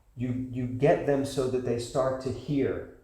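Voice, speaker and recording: A man with an American accent speaks at a very slow pace and medium pitch. His voice carries audible room echo. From United States. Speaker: class teacher. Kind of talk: lecture with Q&A. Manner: animated.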